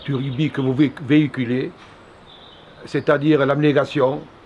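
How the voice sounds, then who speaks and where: Over noticeable background noise, a man speaks at a fairly slow pace with a fairly high pitch and fairly even intonation. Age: 60s. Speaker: former rugby coach and player. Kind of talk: recorded message of encouragement.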